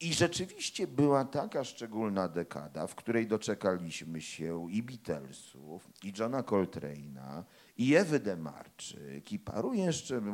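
A man speaks fairly slowly at a fairly low pitch with hardly any pauses. His pitch swings very widely and his loudness swings a lot. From Poland, Warsaw. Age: 40s. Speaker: crime novelist and anthropology professor. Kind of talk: author talk with audience.

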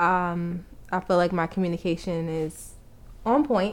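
Talking at a very slow pace, a woman with a New York accent has a medium pitch. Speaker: couple podcast co-host. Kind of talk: casual chat. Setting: home recording, sitting in front of the mic.

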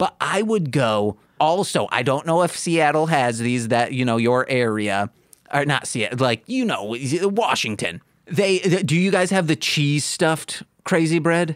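A man's fairly high voice in an American accent, fairly slow, with very wide pitch swings and very even loudness. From Michigan. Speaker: podcast co-host. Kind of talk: casual chat.

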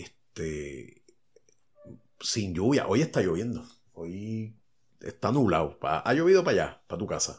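A man with a Puerto Rican accent, fairly low in pitch with very wide pitch swings, at a fairly slow pace with long, frequent pauses. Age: 40s. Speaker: podcast host. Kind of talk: casual chat.

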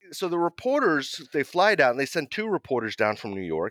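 This man speaks with an American accent, his pitch swinging very widely. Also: dry, close sound with no echo, very clean recording, silent background. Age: 50s. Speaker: war photojournalist. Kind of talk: interview storytelling.

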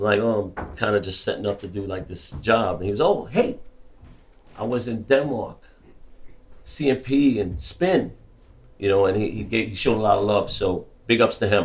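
Somewhat breathy and fairly low-pitched, a man with a New York accent speaks at a moderate pace with ordinary pitch variation and long, frequent pauses, amid audible room echo. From US, the Bronx, New York. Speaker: graffiti artist. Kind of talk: talk to a live audience. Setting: stage with audience.

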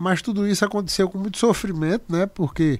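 A man speaks with ordinary pitch variation. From Paraíba, Brazil (Picuí), raised partly in Recife. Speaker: restaurateur. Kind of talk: casual interview chat.

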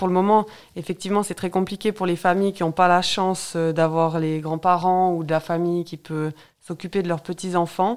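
A woman speaks at a moderate pace in a medium pitch. She has a plain, everyday voice. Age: 30s. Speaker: local political candidate. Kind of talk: radio interview.

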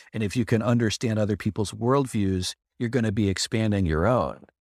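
A man speaks in a normal speaking voice at a fairly low pitch and a moderate pace, with ordinary pitch variation. The recording is very clean with a silent background, its sound dry and close with no echo. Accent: American. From United States. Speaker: creative community member. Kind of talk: casual chat.

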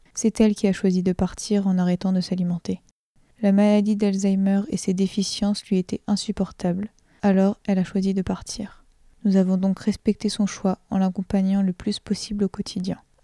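Over a very clean recording with a silent background, a woman speaks at a moderate pace and medium pitch in a somewhat breathy, dark, mellow tone, her intonation monotone and flat, the sound dry and close with no echo. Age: 20s. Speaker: nursing student. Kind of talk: testimony. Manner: reading aloud a written text.

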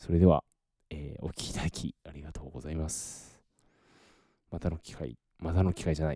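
Very deep and low, a man's voice carries a dark, mellow tone and fairly even intonation. The sound is very clean and dry, close with no echo, over a silent background. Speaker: podcaster. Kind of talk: casual solo podcast monologue.

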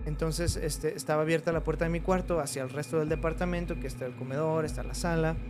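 Music plays in the background while a man talks at a very fast pace. Audible room echo colors the recording. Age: 20s. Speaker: veterinarian telling paranormal stories. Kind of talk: personal storytelling in casual chat. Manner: hesitant, many fillers.

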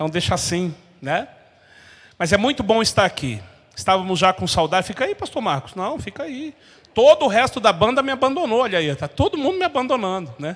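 The speaker has an animated tone, a fairly quick pace and very wide pitch swings. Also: man, high pitch for a man. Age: 40s. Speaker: pastor. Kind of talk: sermon.

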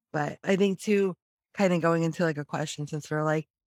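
A woman with a normal speaking voice and fairly low pitch talks at a moderate pace with fairly even intonation, the sound dry and close with no echo. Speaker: podcast co-host, creative entrepreneur. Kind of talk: casual chat. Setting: video call.

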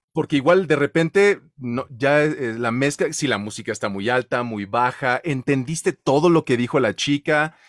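In a Mexican accent, a man with a fairly high pitch and ordinary pitch variation speaks at a fairly slow pace in an animated tone, with hardly any pauses and a dry, close sound with no echo. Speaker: voice-over artist and show host. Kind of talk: casual chat.

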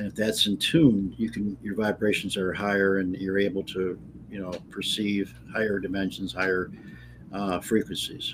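Using an ordinary speaking voice, a man talks at a fairly low pitch. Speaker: author. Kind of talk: casual interview. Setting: video call.

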